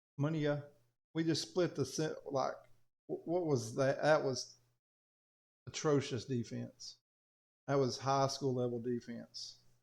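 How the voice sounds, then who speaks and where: With a strong Southern US accent, a man speaks at a fairly slow pace in a fairly high pitch, his intonation fairly even and his pauses long and frequent. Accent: thick Southern US. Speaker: teacher, coach and gaming youtuber. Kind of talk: gameplay commentary. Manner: casual, conversational.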